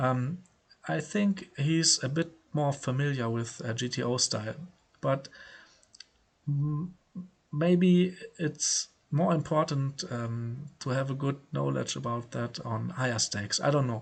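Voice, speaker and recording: With a German accent, a man speaks at a fairly high pitch and fairly slow pace, somewhat breathy, with ordinary pitch variation and long, frequent pauses. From Germany. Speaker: poker player. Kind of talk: casual vlog commentary. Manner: halting, many filler words.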